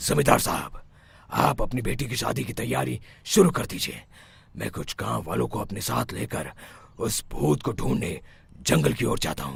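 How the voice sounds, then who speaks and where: At a moderate pace, a man puts on a cartoonish character voice, very deep and low in pitch with very wide pitch swings. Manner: authoritative, assured.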